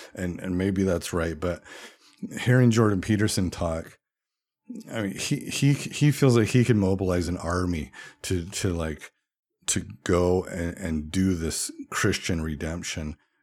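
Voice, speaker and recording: On a very clean recording with a silent background, a man with an American accent and a very deep, low pitch speaks at a fairly slow pace with ordinary pitch variation and long, frequent pauses. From US West, Utah (Orem). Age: 40s. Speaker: podcast host. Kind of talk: solo podcast monologue.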